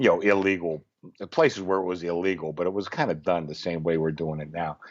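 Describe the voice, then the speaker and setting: This man speaks at a very fast pace with a very deep, low pitch. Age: 60s. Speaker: sportsbook director. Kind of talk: casual chat. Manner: halting.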